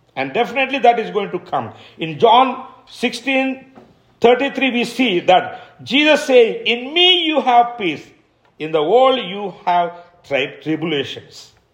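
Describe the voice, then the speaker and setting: A man with an Indian accent, extremely high pitch, very wide pitch swings, and a very slow pace. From India, Kadapa (Andhra Pradesh). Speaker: missionary pastor. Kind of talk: sermon. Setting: church service. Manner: hesitant, repeats words.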